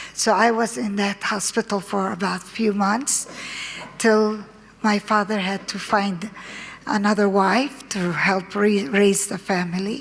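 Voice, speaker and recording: Fairly even intonation runs through a woman's medium-pitched voice. She speaks at a fairly slow pace. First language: Arabic. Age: 70s. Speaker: conference speaker. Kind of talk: personal testimony. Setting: conference with audience. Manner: halting.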